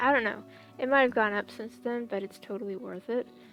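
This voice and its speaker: Music plays in the background as a woman talks. Her pitch is fairly high and her intonation lively. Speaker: digital artist. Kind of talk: casual talk while drawing. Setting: home, basic headset mic. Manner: soft, mumbling at times.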